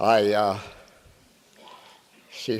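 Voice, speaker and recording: Noticeable background noise and audible room echo surround a man's fairly low-pitched voice. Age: 90s. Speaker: award recipient, community leader. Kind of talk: acceptance speech.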